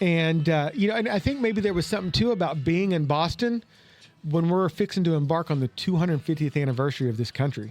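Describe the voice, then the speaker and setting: A man with an American accent, a high pitch, an animated tone, lively intonation, a very fast pace and very even loudness. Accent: Oklahoma accent, noticeable to others. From Oklahoma, US (Tulsa). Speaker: cigar podcast host. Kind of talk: casual chat.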